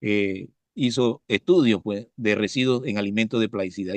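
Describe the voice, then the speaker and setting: The recording of this man sounds dry and close, with no echo at all. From Panama, Coclé province (La Pintada). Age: 60s. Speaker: professor and biologist, pesticide specialist. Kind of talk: interview. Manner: halting, frequent fillers and repetitions.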